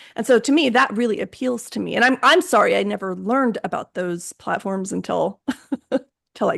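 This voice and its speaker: This woman has a fairly high pitch, vocal fry, and lively intonation at a fairly quick pace. The sound is dry and close, with no echo. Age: 50s. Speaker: podcast host. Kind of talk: podcast interview.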